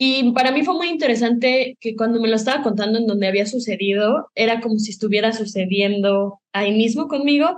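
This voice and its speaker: A woman talks at a fairly quick pace in a fairly high voice. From Mexico, Michoacán (Morelia). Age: 20s. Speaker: film director and student. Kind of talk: interview. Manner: hesitant, many fillers.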